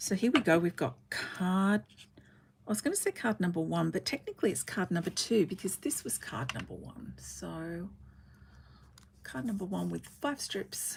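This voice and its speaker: A woman at a moderate pace, with an Australian accent. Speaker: card-making crafter. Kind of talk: livestream craft tutorial. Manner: casual, chatty.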